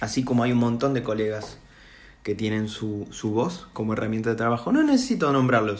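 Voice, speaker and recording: Here a man speaks with a Rioplatense accent. His pace is moderate. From Argentina. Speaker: voice impressionist. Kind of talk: monologue to camera. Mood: earnest, emotional, somewhat indignant. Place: home room. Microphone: phone near.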